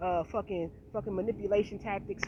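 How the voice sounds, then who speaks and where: A woman's vocal fry with an animated, passionate tone. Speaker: vlogger. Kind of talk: casual monologue vlog.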